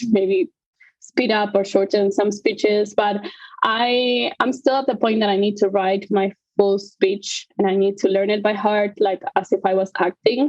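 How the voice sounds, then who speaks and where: A woman speaks at a moderate pace with a non-native accent, her medium pitch held in a fairly even intonation. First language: not English. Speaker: conductor. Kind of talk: interview. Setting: live podcast.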